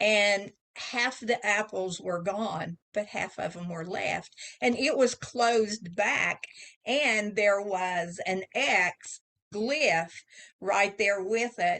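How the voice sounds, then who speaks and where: Pitch varies in an ordinary way as a woman talks. Her pace is very slow. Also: medium pitch for a woman. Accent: Oklahoma. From Southeast Oklahoma. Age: 70s. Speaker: author. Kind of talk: casual interview storytelling.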